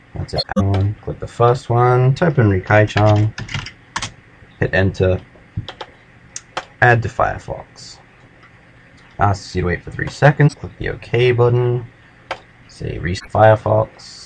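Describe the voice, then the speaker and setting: A man talks at a fairly slow pace, his loudness swinging widely. His pitch is fairly low with ordinary variation, over noticeable background noise. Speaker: language learning tutorial maker. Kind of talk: tutorial. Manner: casual, hesitant with fillers.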